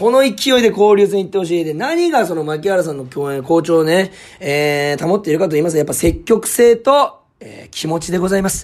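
Animated in tone, a man with a high pitch speaks with lively intonation and big swings in loudness. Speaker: comedian and baseball show host. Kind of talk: casual sports recap monologue. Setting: studio.

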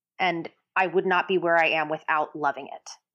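Over a quiet background, a woman with an American accent and an ordinary speaking voice talks at a moderate pace in a fairly low pitch. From New Jersey. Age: 30s. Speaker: Broadway singer and actress. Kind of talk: interview.

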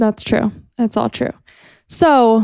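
A woman with an American accent has a fairly high pitch and a dark, mellow tone. The recording is very clean, the background silent. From California. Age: 20s. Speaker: podcast host. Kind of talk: casual chat.

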